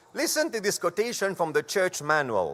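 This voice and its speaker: A man speaks with a French accent, high in pitch, his tone bright and sharp. The recording is very clean, with a silent background. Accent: French-accented English (Franglish). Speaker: church conference presenter on parliamentary procedure. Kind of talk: formal instructional presentation. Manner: formal, deliberate.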